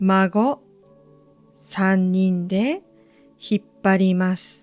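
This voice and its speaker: The tone is gentle and warm, with music in the background. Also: woman. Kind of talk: read story. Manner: gentle, warm, calm; slow.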